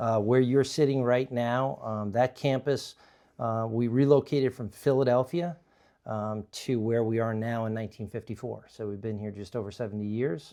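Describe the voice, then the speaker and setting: A man with an American accent speaks at a medium pitch and moderate pace, with a dark, mellow tone and fairly even intonation. The recording is very clean, with a silent background. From New York, Long Island. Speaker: company executive. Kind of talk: interview. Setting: conference room. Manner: halting, many fillers.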